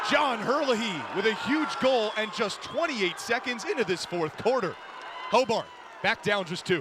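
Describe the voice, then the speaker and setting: A man with a high pitch speaks with lively intonation. Noticeable background noise runs underneath. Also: moderate pace. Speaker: radio sports play-by-play announcer. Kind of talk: college lacrosse play-by-play.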